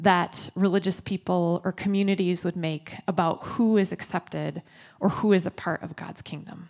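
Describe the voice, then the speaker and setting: Here a woman with an American accent uses a normal speaking voice at a medium pitch, talking at a moderate pace with fairly even intonation. The recording is very clean, with a silent background. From Minnesota. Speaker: pastor. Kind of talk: sermon. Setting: church. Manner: casual, conversational.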